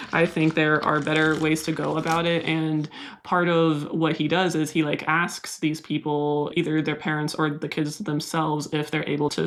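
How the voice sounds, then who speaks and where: In a Californian accent, a woman with a very deep, low pitch speaks at a moderate pace in a monotone, flat intonation, with very even loudness and hardly any pauses. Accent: Californian American. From US West Coast, San Diego. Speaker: plant YouTuber. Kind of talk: casual vlog talk to camera. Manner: mild stutter edited out.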